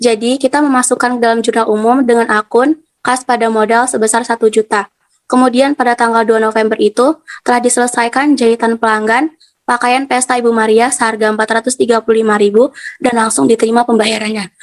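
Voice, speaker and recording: A woman's very fast speech at a fairly high pitch, with fairly even intonation, very even loudness, and a dry, close sound with no echo. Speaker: university student. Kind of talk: class presentation.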